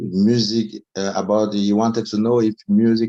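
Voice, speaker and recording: A man with a French accent speaks at a fairly low pitch in a dry, close sound with no echo. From Cameroon. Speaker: music media founder. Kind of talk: panel discussion. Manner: halting, many fillers.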